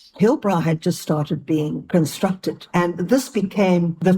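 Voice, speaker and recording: A woman speaks at a fairly slow pace. Her voice is dark, mellow and somewhat breathy. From South Africa, Johannesburg (Italian-born). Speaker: elder interviewee. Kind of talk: life-story interview. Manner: animated.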